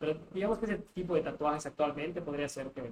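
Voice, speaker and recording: In a Mexican accent, a man talks at a fairly high pitch with ordinary pitch variation. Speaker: tattoo artist. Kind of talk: casual chat.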